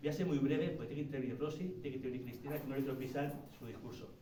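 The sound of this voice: Spoken at a very fast pace with fairly even intonation, the voice carries audible room echo. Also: man, medium pitch for a man.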